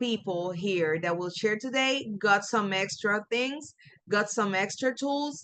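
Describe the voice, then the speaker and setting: A woman with a Puerto Rican accent speaks fairly slowly in an animated tone with a fairly high pitch. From Puerto Rico. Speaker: coach and trainer. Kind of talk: webinar presentation.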